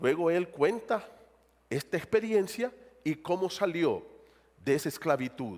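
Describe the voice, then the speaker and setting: A high-pitched man talks fairly slowly, and his intonation is lively. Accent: Honduran. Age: 60s. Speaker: pastor. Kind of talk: sermon.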